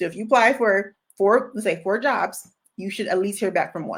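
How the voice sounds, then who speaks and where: Animated and in an American accent, a woman at a medium pitch talks on a very clean recording with a silent background. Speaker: career coach. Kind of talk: livestream Q&A. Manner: fast.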